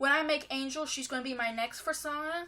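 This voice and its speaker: The woman's voice sits at a high pitch. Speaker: furry vlogger. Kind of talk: casual vlog talk. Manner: hesitant, many fillers.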